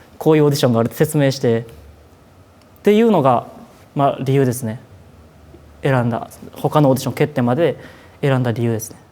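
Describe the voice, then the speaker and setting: In a Kansai accent, a man with a dark, mellow tone and medium pitch talks at a fairly quick pace, with ordinary pitch variation, big swings in loudness, and long, frequent pauses. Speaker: idol trainee. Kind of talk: documentary interview.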